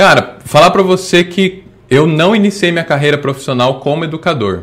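There is noticeable background noise in this recording. A man talks at a moderate pace with a fairly high pitch. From Bahia, Brazil (Salvador). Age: 20s. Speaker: educational robotics educator. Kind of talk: casual interview. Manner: halting, many fillers.

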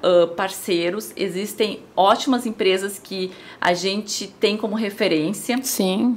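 A woman speaks with a southern Brazilian accent and ordinary pitch variation. Noticeable background noise sits behind her. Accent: gaúcho (southern Brazilian). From Rio Grande do Sul, Brazil. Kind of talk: casual interview.

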